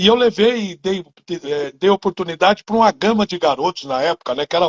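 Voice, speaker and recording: A man speaks in a high pitch at a fairly quick pace, with ordinary pitch variation. The sound is dry and close, with no echo. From interior of São Paulo state, Brazil. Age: 60s. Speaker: former footballer and coach. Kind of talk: interview.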